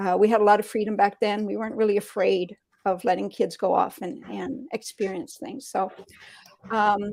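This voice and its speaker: Using an unremarkable speaking voice, a woman talks at medium pitch and a moderate pace, with ordinary pitch variation and big swings in loudness. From Canada, Sudbury, Ontario. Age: 60s. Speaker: interview guest sharing personal story. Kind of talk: conversational interview, personal testimony.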